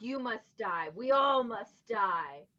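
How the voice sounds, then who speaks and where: A woman puts on a character voice with a fairly high pitch. Her pitch swings very widely. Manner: eerie, grim.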